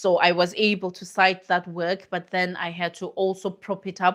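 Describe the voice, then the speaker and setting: A woman's medium-pitched voice with a non-native accent, monotone, flat intonation and a moderate pace. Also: very clean recording, silent background. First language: not English. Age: middle-aged. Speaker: academic researcher. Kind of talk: live stream Q&A talk.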